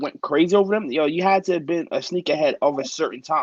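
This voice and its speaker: This man speaks at a fairly quick pace with lively intonation and a high pitch, in a dry, close recording with no echo. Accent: New York. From Brooklyn, New York. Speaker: teacher and sneakerhead. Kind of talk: casual chat.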